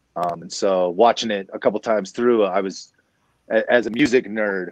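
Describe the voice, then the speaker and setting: Against a quiet background, a man with an American accent speaks at a fairly low pitch in a dry sound with no echo. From US Southwest. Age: 40s. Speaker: DJ and hip-hop producer; guest. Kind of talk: livestreamed community discussion. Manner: casual, animated. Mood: relaxed, joking at times. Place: home room. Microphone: video call.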